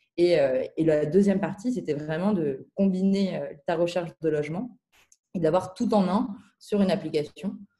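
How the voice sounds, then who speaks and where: In a dark, mellow, somewhat breathy tone, a woman speaks with long, frequent pauses. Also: medium pitch for a woman, ordinary pitch variation, moderate pace. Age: 20s. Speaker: startup founder. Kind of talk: interview. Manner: hesitant, many filler words.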